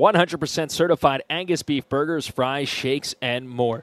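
An energetic-toned man at a moderate pace, with ordinary pitch variation. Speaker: sports radio highlights host. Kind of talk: game highlights recap, radio sports narration. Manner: brisk, energetic play-by-play delivery.

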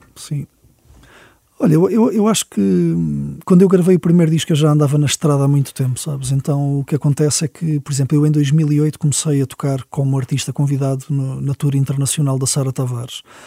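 A man talks at a fairly quick pace in a somewhat breathy, fairly high voice with a dark, mellow tone. His pitch varies normally, and the sound is dry and close with no echo. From Portugal, Lisbon. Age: 40s. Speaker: musician. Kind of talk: interview. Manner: halting.

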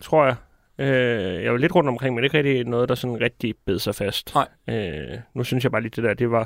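Vocal fry colors a man's medium-pitched voice, with ordinary pitch variation and a moderate pace. It's a very clean recording with a silent background. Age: 30s. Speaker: comedian and writer. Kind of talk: casual chat. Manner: calm, jovial.

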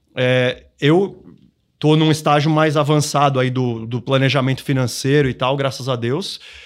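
A man's plain, everyday voice, fairly high in pitch, with ordinary pitch variation, a fairly slow pace and a very clean recording over a silent background. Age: 40s. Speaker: financial planning educator. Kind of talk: podcast interview.

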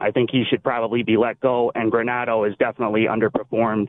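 A man speaks at a very fast pace in a Western New York accent. His pitch sits in the medium range. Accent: Western New York (Inland North). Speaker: caller. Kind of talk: call-in radio talk.

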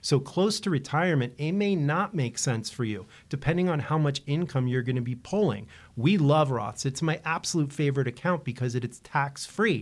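A normal speaking voice with lively intonation comes at a moderate pace on a very clean recording with a silent background. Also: man, fairly high pitch for a man. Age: 50s. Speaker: financial advisor, radio show host. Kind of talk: radio talk show, financial advice.

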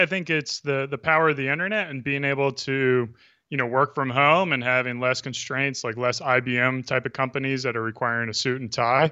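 This man has a normal speaking voice, pitched fairly high and delivered at a moderate pace. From Texas. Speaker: beard brand founder and social media personality. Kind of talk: casual interview. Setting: video call.

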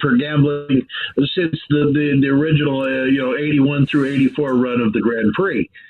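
Noticeable background noise behind a man speaking at a fairly high pitch. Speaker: motorsports radio broadcaster. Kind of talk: casual interview. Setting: remote call.

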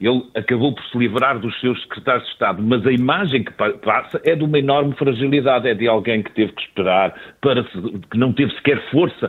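Pitched at a medium level, the man has an unremarkable speaking voice. His delivery is fairly quick, and his pitch shifts in an ordinary way. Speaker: newspaper editor and commentator. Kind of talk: radio panel discussion.

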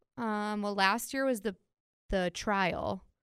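The recording is very clean with a silent background. It carries an unremarkable speaking voice with ordinary pitch variation. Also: woman. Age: 30s. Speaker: podcast host. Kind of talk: casual chat.

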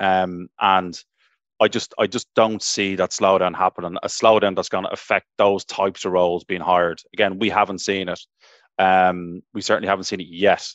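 A man with an Irish accent, very deep, low pitch and monotone, flat intonation. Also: moderate pace. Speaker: tech recruiter. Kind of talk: panel discussion.

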